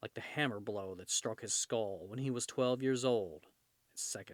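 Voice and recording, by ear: Ordinary pitch variation while reading aloud in a natural voice, all over a quiet background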